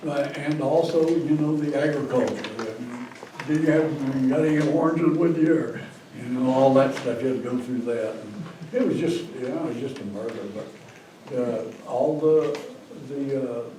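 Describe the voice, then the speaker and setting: The voice moves at a moderate pace with lively intonation. Audible room echo and noticeable background noise are present. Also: man. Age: 80s+. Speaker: ham radio operator. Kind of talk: casual chat. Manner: halting.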